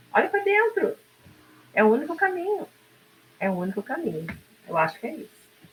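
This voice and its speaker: Over noticeable background noise, a woman with a high pitch speaks with very wide pitch swings, big shifts in loudness, and long, frequent pauses. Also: fairly quick pace. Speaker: podcast co-host. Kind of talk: casual talk show conversation.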